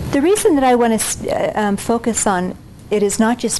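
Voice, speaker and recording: A woman talks at a moderate pace with ordinary pitch variation. Noticeable background noise can be heard. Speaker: physician and keynote speaker. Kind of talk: lecture. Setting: stage with audience. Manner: soft-spoken. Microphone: no microphone, recorder only.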